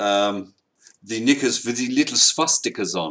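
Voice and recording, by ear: At a fairly slow pace, a man talks with a medium pitch and a fairly bright tone.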